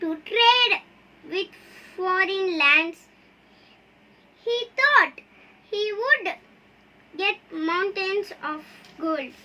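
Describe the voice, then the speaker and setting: A woman speaks at an extremely high pitch. She talks at a very slow pace. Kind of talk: bedtime story reading. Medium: read story. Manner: halting, repeats words.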